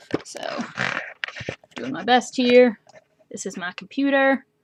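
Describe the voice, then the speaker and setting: A woman's high-pitched voice has a bright, sharp tone and ordinary pitch variation. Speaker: student teacher presenting a lesson plan. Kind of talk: recorded explanation of a demo lesson. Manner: fast; casual, hesitant with many fillers.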